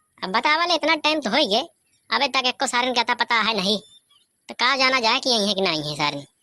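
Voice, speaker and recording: A woman puts on a character voice. She talks at a very fast pace. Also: dry, close sound with no echo. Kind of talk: rustic comedy sketch. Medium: comedy sketch. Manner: grumbling, fast, teasing.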